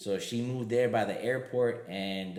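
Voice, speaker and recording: A man speaks at a fairly slow pace, with audible room echo around him. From Miami, Florida (Puerto Rican-Cuban family). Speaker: comedian and triathlete. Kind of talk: casual chat.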